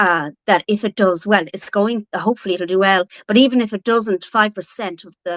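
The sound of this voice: Fairly quick and with ordinary pitch variation, a woman speaks at a medium pitch with a northwest Irish accent, the sound dry and close with no echo. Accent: Irish, from the north-west.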